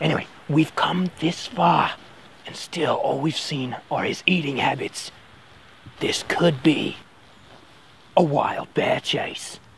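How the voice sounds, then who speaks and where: Using a put-on character voice at a middle pitch, the speaker goes at a fairly slow pace with long, frequent pauses. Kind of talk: mock TV-host presentation. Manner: upbeat, punning, showman.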